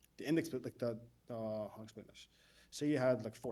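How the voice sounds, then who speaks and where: A man's medium-pitched voice carries fairly even intonation. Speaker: mock interview candidate. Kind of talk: technical mock interview. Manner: fast; halting, many fillers and restarts.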